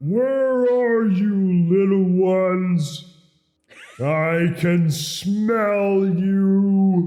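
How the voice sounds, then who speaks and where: A loud, booming, put-on character voice at a middle pitch moves at a very slow pace, with audible echo around it. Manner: menacing, taunting.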